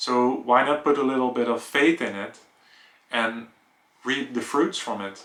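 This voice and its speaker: A man with a Dutch accent at a fairly slow pace, with ordinary pitch variation. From Netherlands. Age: 30s. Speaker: vlogger. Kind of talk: personal vlog monologue.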